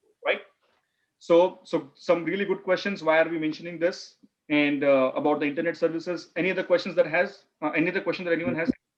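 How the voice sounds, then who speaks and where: Very fast and loud, a man talks at a high pitch with fairly even intonation. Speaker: business analysis instructor. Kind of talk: online class.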